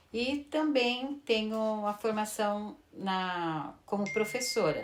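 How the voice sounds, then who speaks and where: A woman talks over noticeable background noise. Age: 60s. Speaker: retired teacher and pastry cook. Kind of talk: interview. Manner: hesitant.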